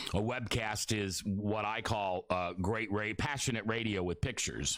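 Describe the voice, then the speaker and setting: Fairly low male voice in an American accent. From US Midwest, Beatrice, Nebraska. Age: 60s. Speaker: radio host. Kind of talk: live radio talk. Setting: radio studio. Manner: halting.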